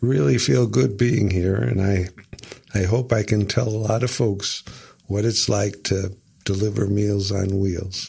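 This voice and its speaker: With an American accent, a man speaks in a fairly low, somewhat breathy voice with ordinary pitch variation. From US Midwest, Rockford, Illinois. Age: 70s. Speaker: Meals on Wheels volunteer. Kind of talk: interview. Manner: hesitant, many fillers.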